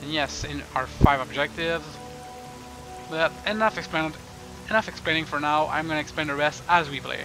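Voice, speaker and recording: Long, frequent pauses and fairly even intonation in a French Canadian accent, with music in the background. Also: man, fairly high pitch for a man, fairly quick pace. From Canada. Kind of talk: let's play game commentary. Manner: casual, joking.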